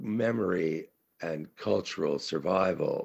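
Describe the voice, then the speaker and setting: Vocal fry marks a man's voice, which shows ordinary pitch variation. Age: 70s. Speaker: conference speaker, writer. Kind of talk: conference talk. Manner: halting, many fillers.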